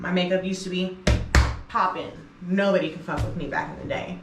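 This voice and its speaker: With audible room echo and noticeable background noise, a woman speaks with an American accent. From US East Coast. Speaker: music producer and DJ, vlogger. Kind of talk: casual vlog talk to camera. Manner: loud, expressive.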